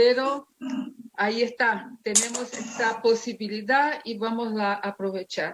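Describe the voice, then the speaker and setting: At a fairly slow pace, a woman with a non-native accent talks at a fairly high pitch with fairly even intonation. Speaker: theologian and pastor. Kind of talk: lecture.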